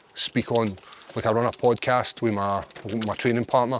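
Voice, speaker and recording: Noticeable background noise surrounds a man talking at a fairly quick pace. He speaks with a strong Glaswegian accent. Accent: thick Glaswegian Scottish. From Scotland, Glasgow area. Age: 30s. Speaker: MMA fighter. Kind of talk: casual chat. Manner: fast.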